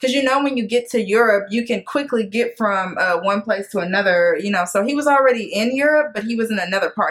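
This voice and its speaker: There is noticeable background noise behind a woman with a fairly high voice. She talks at a very fast pace with hardly any pauses. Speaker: TV show recap youtuber. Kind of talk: casual chat.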